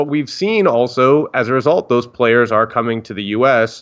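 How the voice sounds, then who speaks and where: A normal speaking voice with an American accent, fairly even intonation and a moderate pace, over a quiet background. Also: man. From Northern Virginia, US (DC area). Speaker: soccer journalist. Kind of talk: interview.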